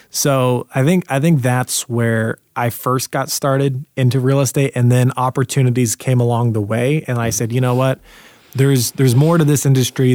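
A man speaks at medium pitch and a moderate pace. He has an ordinary speaking voice with fairly even intonation. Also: dry, close sound with no echo. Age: 20s. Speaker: real estate broker and entrepreneur. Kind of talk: casual interview chat.

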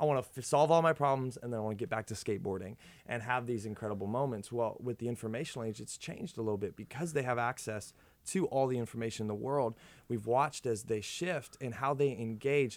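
A man speaks very fast in an American accent with ordinary pitch variation, on a very clean recording with a silent background. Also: medium pitch for a man. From Minnesota, US. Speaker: youth pastor. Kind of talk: casual chat.

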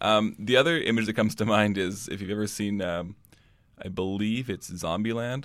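This man has a plain, everyday voice, pitched fairly low with ordinary pitch variation. He talks at a moderate pace. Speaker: student podcast co-producer. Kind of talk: scripted narration and interview.

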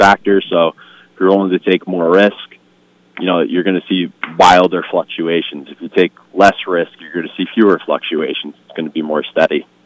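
A man's very deep, low voice at a moderate pace. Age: 40s. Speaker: financial representative. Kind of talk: radio interview.

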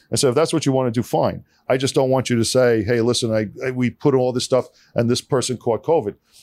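A man with a New York accent talks at a very fast pace with fairly even intonation on a very clean recording with a silent background. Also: medium pitch for a man, very even loudness, dry, close sound with no echo. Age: 50s. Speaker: engineering firm founder. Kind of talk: casual interview chat. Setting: studio.

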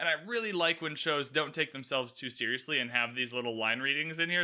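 The speaker uses a normal speaking voice with lively intonation at a fairly quick pace. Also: man. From Canada. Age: 20s. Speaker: podcast host. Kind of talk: solo TV recap commentary. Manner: casual, conversational.

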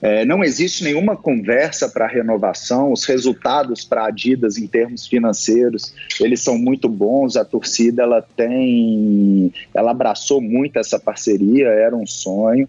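This man has a plain, everyday voice at medium pitch with ordinary pitch variation. He talks at a fairly slow pace with hardly any pauses. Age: 30s. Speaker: football club executive. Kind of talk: interview.

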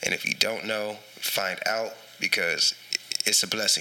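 With noticeable noise in the background, a man speaks in an American accent at a moderate speed. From Texas, San Antonio. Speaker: rapper and Air Force serviceman. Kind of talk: casual chat.

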